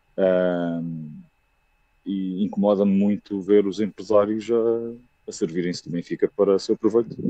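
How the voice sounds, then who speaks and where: A man with a normal speaking voice talks at a fairly slow pace, with a fairly low pitch and fairly even intonation. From Aveiro, Portugal. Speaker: football fan caller. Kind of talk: fan call-in opinion. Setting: video call.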